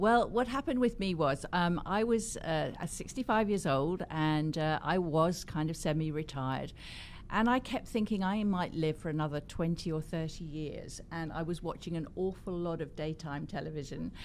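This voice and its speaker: A woman with an English accent speaks at a fairly low pitch with lively intonation. She leaves hardly any pauses. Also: moderate pace. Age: 70s. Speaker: cosmetics company founder and author. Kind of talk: interview.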